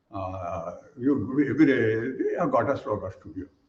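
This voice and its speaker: Vocal fry runs through this man's speech at a moderate pace. Audible room echo surrounds him. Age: 80s+. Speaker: yoga teacher. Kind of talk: webinar presentation. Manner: halting, repeats words.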